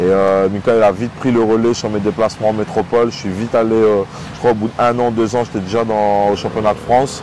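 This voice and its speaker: Speaking at a fairly quick pace, a man keeps a fairly low pitch. His intonation is monotone and flat, with noticeable background noise. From Réunion. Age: 30s. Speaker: professional MMA fighter. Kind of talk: interview. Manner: hesitant, many fillers.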